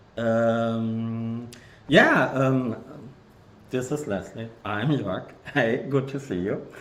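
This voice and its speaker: In a German accent, the speaker goes at a very slow pace with ordinary pitch variation and long, frequent pauses, and audible room echo fills the recording. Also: man, medium pitch for a man. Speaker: game developer. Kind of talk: live game stream. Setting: video livestream. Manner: hesitant, many fillers.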